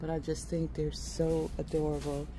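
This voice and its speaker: A woman speaks at a fairly slow pace. Light background noise is audible. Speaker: shopping vlogger. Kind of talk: casual vlog chat. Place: shop. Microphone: phone near.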